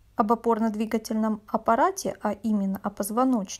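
On a very clean recording with a silent background, a woman speaks fairly slowly at a fairly high pitch. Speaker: tarot reader. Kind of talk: tarot reading monologue. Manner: chatty, conversational.

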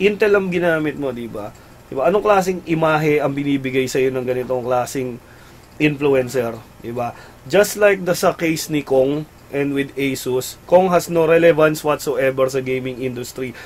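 At a moderate pace, a man speaks in a fairly high pitch with ordinary pitch variation. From Philippines. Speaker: gaming website host. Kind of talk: casual live-stream chat. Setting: live stream studio. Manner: animated. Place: home room.

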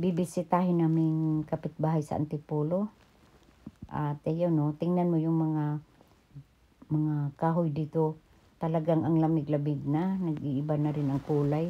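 A woman's very deep, low pitch with a dark, mellow tone, fairly even intonation and a fairly slow pace. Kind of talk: casual vlog commentary. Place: car. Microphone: phone near.

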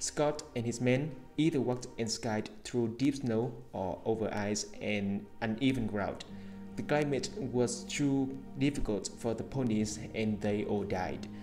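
Over clear background music, a man with a medium pitch talks fairly slowly, using ordinary pitch variation. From Vietnam. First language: Vietnamese. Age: young. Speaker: English learner. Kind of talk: reading aloud an English article. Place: home room. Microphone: earbuds.

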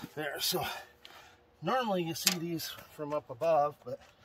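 A man is speaking. Loud background noise sits behind him. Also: dry sound with no echo. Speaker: hobby farmer fixing tractor. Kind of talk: casual vlog chat. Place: garden. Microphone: phone near.

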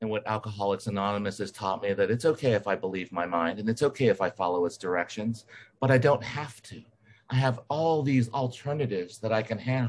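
At a fairly quick pace, a man uses a normal speaking voice, fairly low in pitch, with ordinary pitch variation. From US South, Alabama. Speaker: recovering alcoholic speaker. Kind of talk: testimony.

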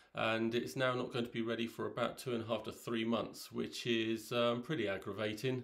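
A man talks at a fairly quick pace, and the background is quiet. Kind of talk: casual vlog chat. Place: home room. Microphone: phone near.

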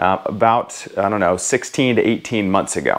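The pace of this man's speech is moderate. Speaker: personal finance vlogger. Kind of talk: casual vlog chat. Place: home room. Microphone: lapel.

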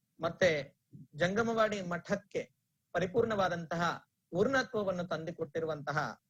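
Speaking with a Telugu accent, a man uses a high pitch with ordinary pitch variation. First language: Telugu (speaking Kannada). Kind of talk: religious discourse. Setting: online broadcast. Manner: measured, pause-filled delivery.

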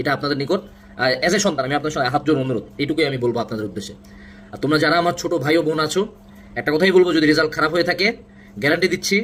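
A man with an unremarkable speaking voice, pitched fairly high, speaks with lively intonation. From Bangladesh, Dinajpur region. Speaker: admission coach. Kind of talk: motivational talk.

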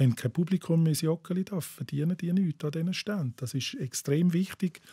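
A dark, mellow tone with ordinary pitch variation comes through as a dry sound with no echo against a quiet background. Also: man. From Bavaria, south of Munich. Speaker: writer and football poet; football poet. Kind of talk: casual chat. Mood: relaxed, conversational. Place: studio. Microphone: studio mic.

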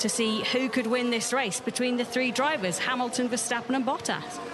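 A woman's high voice at a fairly quick pace, dry with no echo, over clear music in the background. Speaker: pit-lane reporter and analyst; pit-lane reporter, analyst. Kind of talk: live race commentary; sports commentary.

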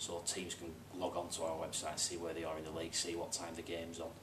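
Amid noticeable background noise, a man with a very deep, low pitch speaks at a fairly quick pace. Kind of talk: interview answer. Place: office.

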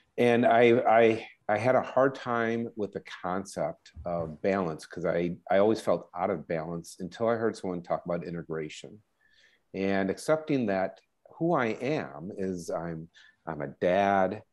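Against a quiet background, a man with an unremarkable speaking voice talks at a fairly slow pace in a fairly low pitch with lively intonation. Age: middle-aged. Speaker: dentist and podcast host; podcast host. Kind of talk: interview. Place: home room. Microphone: earbuds.

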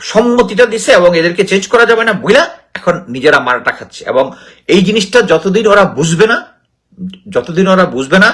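This man has a high voice and an animated tone. His intonation is lively. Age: 50s. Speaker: retired army officer, political commentator. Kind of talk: political commentary.

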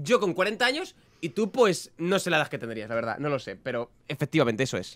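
This man's tone is animated, with very wide pitch swings. He talks at a fairly quick pace. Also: fairly high pitch for a man. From Spain. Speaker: youtuber. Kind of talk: reaction video commentary. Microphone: studio mic.

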